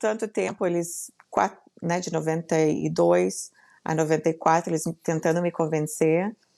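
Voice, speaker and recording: This woman's voice has a dark, mellow tone and sits at a fairly low pitch. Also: very clean recording, silent background. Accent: southern Brazilian. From southern Brazil, Rio Grande do Sul. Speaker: entrepreneur and business mentor. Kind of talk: podcast interview.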